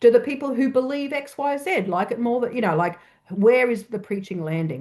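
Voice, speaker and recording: A woman's dark, mellow voice with an Australian accent, lively intonation and a moderate pace over a quiet background. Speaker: church researcher. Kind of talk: presentation.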